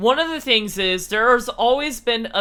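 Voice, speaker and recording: A man speaks loudly. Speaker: YouTuber. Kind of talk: casual vlog talk. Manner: loud and clear.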